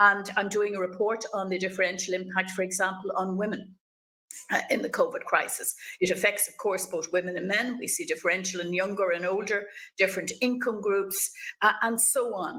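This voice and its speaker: Fairly even intonation and a moderate pace come with an Irish accent. The tone is bright and sharp, with big swings in loudness. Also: woman. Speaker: politician, webinar chair. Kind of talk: panel moderation.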